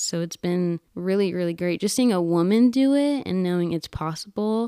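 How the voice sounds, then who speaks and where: A woman speaks in a normal speaking voice, fairly low in pitch, at a moderate pace. The recording is very clean with a silent background and a dry, close sound free of echo. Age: 20s. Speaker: podcast editor and creative entrepreneur. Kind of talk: casual interview chat.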